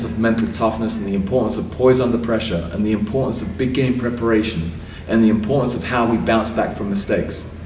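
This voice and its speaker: Amid audible room echo, a man with an English accent speaks very fast. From England. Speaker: sports psychologist. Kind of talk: interview.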